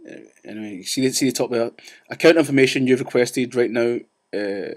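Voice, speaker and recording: A man with a Scottish accent talks at a very fast pace and medium pitch, with ordinary pitch variation. His loudness swings widely. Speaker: vlogger ranting about banks. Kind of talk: casual vlog rant. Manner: animated.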